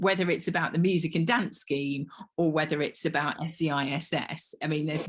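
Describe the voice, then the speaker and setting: A woman's fairly low, somewhat breathy voice shows ordinary pitch variation. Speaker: dance organisation founder and host. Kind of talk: casual chat.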